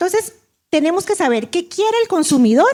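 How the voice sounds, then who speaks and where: A woman with a Costa Rican accent speaks with very wide pitch swings. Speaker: invited international speaker on food labeling. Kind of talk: conference presentation. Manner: halting, with frequent self-corrections.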